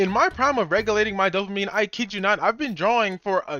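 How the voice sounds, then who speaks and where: A man speaks in a raised, projected voice. Noticeable background noise runs behind him. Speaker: YouTuber giving channel advice. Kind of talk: casual vlog-style advice talk. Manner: casual slangy delivery. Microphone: bad mic.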